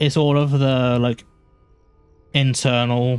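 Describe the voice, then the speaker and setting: A man's monotone, flat delivery at a fairly slow pace, with music in the background. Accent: British. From UK. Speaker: game streamer. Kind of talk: live gameplay stream chat. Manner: halting, repeats words.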